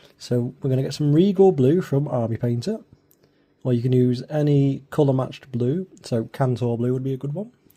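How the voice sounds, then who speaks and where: The speaker whispers at a moderate pace. The voice is somewhat breathy. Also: man. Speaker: miniature painting youtuber. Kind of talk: tutorial. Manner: whispering; casual, hesitant.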